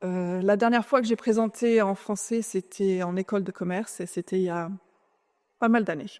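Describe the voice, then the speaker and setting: In a very clean recording with a silent background, a woman speaks at a medium pitch and moderate pace with lively intonation. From France. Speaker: conference speaker, clean tech executive. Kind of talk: conference talk. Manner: hesitant.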